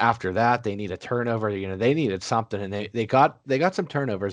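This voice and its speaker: A man with a fairly low pitch and an ordinary speaking voice talks at a fairly quick pace with ordinary pitch variation, dry and close with no echo over a quiet background. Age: 30s. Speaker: sports podcast host. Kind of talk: casual chat.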